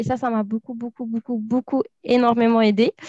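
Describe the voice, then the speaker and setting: A woman's high-pitched voice comes through with a dry, close sound and no echo. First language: not French (speaking French). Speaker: recruitment officer and co-presenter. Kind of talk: panel discussion on a live stream. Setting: live video stream. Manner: hesitant, many fillers.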